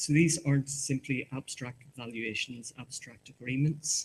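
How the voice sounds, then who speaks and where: Speaking at a moderate pace, a man's somewhat breathy voice shows ordinary pitch variation. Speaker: market research presenter. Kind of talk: conference presentation. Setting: conference hall with audience. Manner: halting, repeats words.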